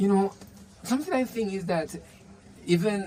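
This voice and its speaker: The speaker has a Spanish accent and talks at a fairly quick pace. Background noise is noticeable. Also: man. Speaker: language teacher. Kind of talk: interview. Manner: halting.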